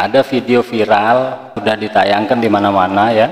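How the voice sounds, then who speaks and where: Fairly slow, fairly even male speech. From Indonesia. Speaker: reaction video commentator. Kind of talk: reaction commentary.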